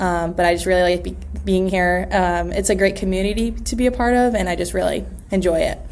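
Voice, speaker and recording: Talking at a fairly quick pace, a woman with an American accent is heard with audible room echo. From US West Coast, Los Angeles. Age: 20s. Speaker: real estate agent. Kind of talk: interview. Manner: hesitant, many fillers.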